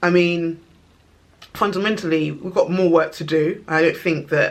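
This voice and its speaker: A woman's fairly low voice in a London accent, with ordinary pitch variation and a moderate pace. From England, East London. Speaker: video blogger. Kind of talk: casual monologue to camera. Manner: animated.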